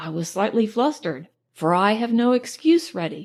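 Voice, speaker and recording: A woman speaks in an unremarkable speaking voice at a moderate pace. Her fairly high pitch carries lively intonation. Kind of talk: audiobook narration.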